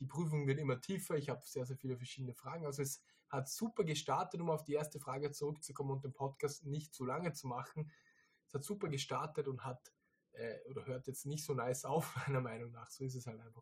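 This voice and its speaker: Somewhat breathy and fairly high, a man's voice moves at a very fast pace. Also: ordinary pitch variation. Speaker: podcast host, online reseller business owner. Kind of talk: casual chat.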